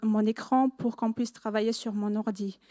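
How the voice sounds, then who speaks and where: A woman's fairly high voice with a non-native accent, dry and close with no echo. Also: very clean recording, silent background. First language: not French (speaking French). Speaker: student giving church testimony. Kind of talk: testimony. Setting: church service. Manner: halting.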